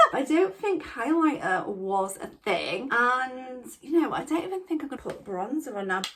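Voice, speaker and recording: Speaking in a Yorkshire accent at a moderate pace, a woman's pitch swings very widely. Background noise is noticeable. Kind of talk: casual talk to camera, makeup storytime. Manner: chatty, excitable.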